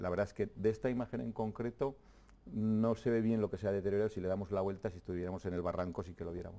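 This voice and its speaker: Talking at a very fast pace, a man uses a fairly low pitch with ordinary pitch variation. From Navarre, Spain (Fustiñana, Ribera). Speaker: president of a land-management community. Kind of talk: TV interview. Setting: TV studio. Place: studio. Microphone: lapel.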